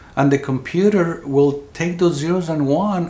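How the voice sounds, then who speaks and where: A man talks at a moderate pace, with audible room echo in the recording. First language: Spanish. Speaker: near-death experiencer. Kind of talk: interview. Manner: halting, repeats words.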